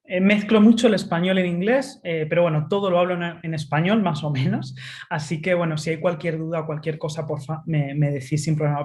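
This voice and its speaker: A somewhat breathy woman with a Spanish accent and a fairly low pitch, at a fairly quick pace with hardly any pauses, ordinary pitch variation and audible room echo. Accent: Spanish (Spain). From Spain. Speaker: tech futurist speaker. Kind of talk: webinar talk. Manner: frequent fillers (eh).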